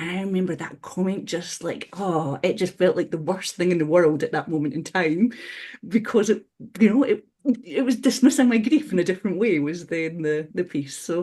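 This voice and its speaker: Medium-pitched woman with a dark, mellow tone and lively intonation, at a moderate pace in a quiet background. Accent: Scottish. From Scotland. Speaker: webinar panelist. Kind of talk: webinar discussion. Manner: halting.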